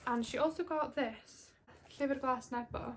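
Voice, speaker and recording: A woman speaks in a Welsh accent with ordinary pitch variation. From Wales. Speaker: booktuber. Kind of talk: casual chat. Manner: animated.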